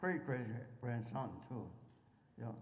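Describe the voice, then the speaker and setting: A man's somewhat breathy voice carries audible room echo. His pitch variation is ordinary. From Pennsylvania. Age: 90s. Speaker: war veteran. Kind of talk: interview. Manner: halting.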